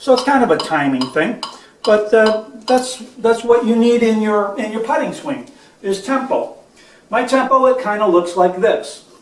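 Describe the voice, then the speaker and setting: An extremely high-pitched man's voice at a moderate pace, with ordinary pitch variation, audible room echo and noticeable background noise. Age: 60s. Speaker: golf instructor. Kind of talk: tutorial. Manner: halting.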